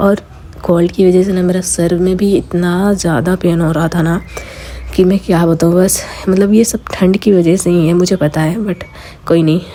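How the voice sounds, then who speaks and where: A woman's fairly low voice, flat monotone delivery, noticeable background noise. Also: moderate pace. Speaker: lifestyle vlogger. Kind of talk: casual vlog talk.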